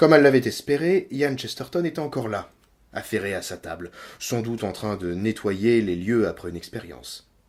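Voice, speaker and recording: A man speaks at a moderate pace and a medium pitch, his voice swinging very widely up and down. The recording is very clean, with a silent background. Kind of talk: audiobook reading of a novel chapter. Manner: relaxing, ASMR-style.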